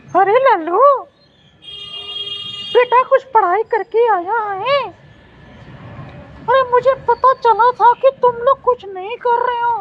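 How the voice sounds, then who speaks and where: A woman speaks in a cartoonish character voice at an extremely high pitch, fairly slowly, with long, frequent pauses and a dry, close sound with no echo. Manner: rambling, chuckling.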